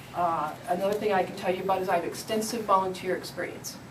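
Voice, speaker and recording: Noticeable background noise and audible room echo surround a woman with an American accent. She talks fairly quickly at medium pitch in a flat, monotone way. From Michigan. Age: 50s. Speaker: city council candidate. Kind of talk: interview.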